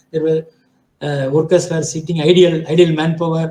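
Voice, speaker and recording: His voice is high-pitched with a dark, mellow tone, delivered in a monotone, flat intonation. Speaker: project management expert. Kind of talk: lecture. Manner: fast; halting.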